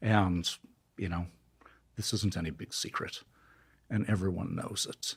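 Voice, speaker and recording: Fairly low in pitch and somewhat breathy, a man speaks at a fairly slow pace with fairly even intonation and long, frequent pauses. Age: 60s. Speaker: neuroscientist. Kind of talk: interview.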